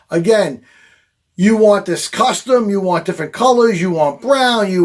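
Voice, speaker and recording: A man with a Long Island accent speaks in an animated tone. His intonation is lively and his pace moderate. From Long Island, New York. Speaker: fishing charter captain. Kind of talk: product demonstration.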